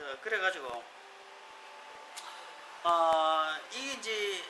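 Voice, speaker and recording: Against noticeable background noise, a man talks at a high pitch with very wide swings in it. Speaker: coffee shop owner. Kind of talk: casual unedited talk about coffee. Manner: chatty, joking.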